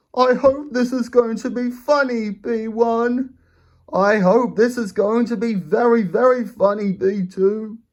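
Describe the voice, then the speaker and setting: At a fairly slow pace, a speaker performs a put-on character voice pitched fairly high. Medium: read story. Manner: call each other by name.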